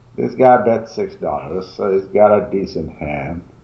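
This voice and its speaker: Audible room echo surrounds a man who talks fairly slowly with very wide pitch swings. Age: middle-aged. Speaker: poker student; poker streamer. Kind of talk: casual chat. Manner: halting. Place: home room.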